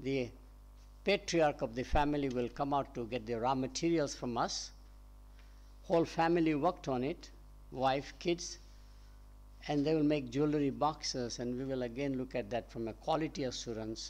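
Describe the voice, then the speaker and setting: With a Gujarati accent, a man talks at a moderate pace with long, frequent pauses over a quiet background. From India, Gujarat. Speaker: professor. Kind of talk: panel discussion.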